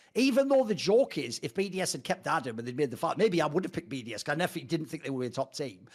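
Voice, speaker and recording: A man at a very fast pace, animated in tone, with very wide pitch swings, on a very clean recording with a silent background. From Northeast England. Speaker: esports pundit. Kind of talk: casual chat.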